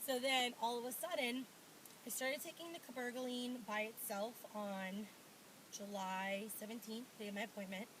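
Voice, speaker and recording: A woman speaks at a moderate pace with a fairly high pitch. Her pitch varies in an ordinary way, and there is noticeable background noise. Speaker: pregnancy vlogger. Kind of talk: casual vlog. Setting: at home.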